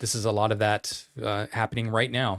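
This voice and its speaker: A man's fairly low, monotone voice with flat intonation and an American accent, in a very clean recording with a silent background. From Idaho. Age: 50s. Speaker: podcast co-host. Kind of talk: casual chat.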